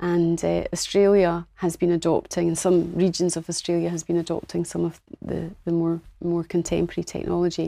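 A woman with a Scottish accent talks fairly quickly with hardly any pauses, her fairly low, dark, mellow voice in a monotone, flat intonation on a very clean recording with a silent background. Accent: Scottish, Edinburgh. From Scotland. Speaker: nurse and healthcare business founder. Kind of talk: interview.

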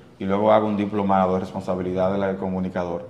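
With audible room echo, a man with a very deep, low pitch talks very fast in a monotone, flat intonation. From Dominican Republic, Santiago. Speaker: radio host and producer. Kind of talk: casual interview. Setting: studio.

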